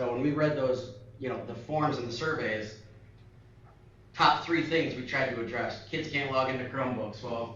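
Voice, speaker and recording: Audible room echo and noticeable background noise, with ordinary pitch variation. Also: man. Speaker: school technology staff. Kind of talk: board meeting presentation. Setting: school board meeting. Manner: fast.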